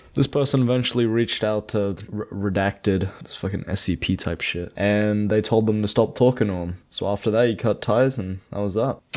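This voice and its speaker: A man's fairly low, unremarkable speaking voice at a moderate pace, with fairly even intonation. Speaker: commentary YouTuber. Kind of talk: drama commentary narration.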